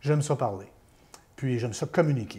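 With a dark, mellow tone and somewhat breathy delivery, a man speaks at a fairly quick pace with lively intonation. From Quebec, Beauce region. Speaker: former radio host. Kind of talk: interview, life story. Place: home room. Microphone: lapel.

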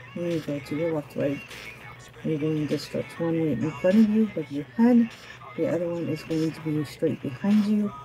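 Over clear music in the background, a woman talks at a moderate pace with a very deep, low pitch. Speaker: fitness instructor. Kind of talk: workout instruction. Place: garage.

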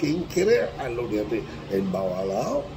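The speaker has a Cuban accent and a fairly slow pace. Noticeable background noise runs underneath. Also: man. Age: 80s+. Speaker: Ifa priest (babalawo). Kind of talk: religious teaching talk to camera. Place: home room. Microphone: phone near.

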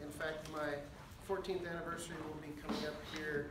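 A man talks at a fairly quick pace in a fairly high pitch, with little pitch movement. Audible room echo and clear background noise fill the recording.

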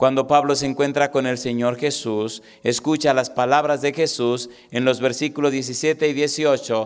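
A man speaks at a medium pitch, fairly slowly, in a flat monotone. The background is quiet. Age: 40s. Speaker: pastor. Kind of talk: sermon. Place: church. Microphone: handheld.

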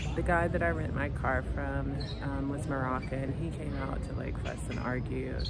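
Over loud background noise, a woman with an American accent speaks quietly. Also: moderate pace. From United States. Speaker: life coach and vlogger. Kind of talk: casual vlog monologue. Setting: outdoors in a park. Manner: quiet, subdued speaking. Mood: frank, somewhat weary storytelling. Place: street. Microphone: phone near.

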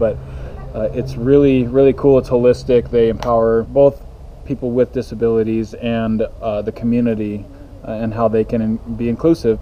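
A man speaks at a moderate pace with ordinary pitch variation. Light background noise can be heard. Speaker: family vlogger. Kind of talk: casual vlog chat. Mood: warm, enthusiastic. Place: cafe. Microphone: phone near.

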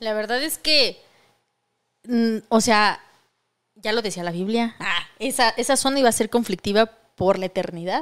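Against a quiet background, the speech moves at a fairly slow pace with ordinary pitch variation and long, frequent pauses. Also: woman, fairly high pitch for a woman. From Mexico. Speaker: podcast co-host. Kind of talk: casual chat. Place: studio. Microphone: studio mic.

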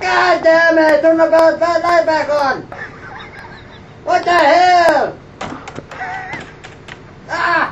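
Clear background noise sits under a cartoonish character voice that is extremely high and flat in a monotone, moving very slowly with long, frequent pauses. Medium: puppet. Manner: vulgar, irritable.

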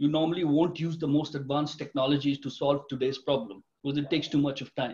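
Somewhat breathy speech comes at a very fast pace with hardly any pauses and fairly even intonation. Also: man. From India. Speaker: retired tech executive, company director. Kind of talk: interview. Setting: video call. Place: home room. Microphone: video call.

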